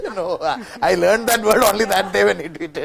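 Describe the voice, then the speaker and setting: At a moderate pace, a man talks while noticeable background noise is heard. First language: not English. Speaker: author. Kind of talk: masterclass talk. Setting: bookstore event with audience.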